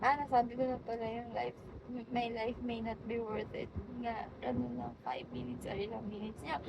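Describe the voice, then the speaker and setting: Noticeable background noise under a woman's high voice at a moderate pace. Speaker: vlogger. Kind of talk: casual monologue. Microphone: phone mic, no microphone.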